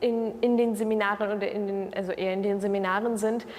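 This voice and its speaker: A woman with a Russian accent, a fairly high pitch and flat, monotone intonation. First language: Russian (speaking German). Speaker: university student. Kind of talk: interview answers. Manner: hesitant, many fillers.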